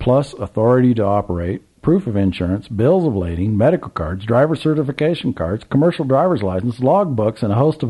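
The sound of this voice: Lively intonation carries this reading. The voice is an unforced reading voice.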